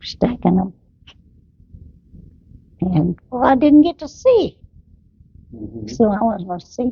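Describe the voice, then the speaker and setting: A woman speaks at a fairly slow pace with long, frequent pauses, her medium-pitched voice showing vocal fry, very wide pitch swings and big swings in loudness. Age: 90s. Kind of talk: family memories interview.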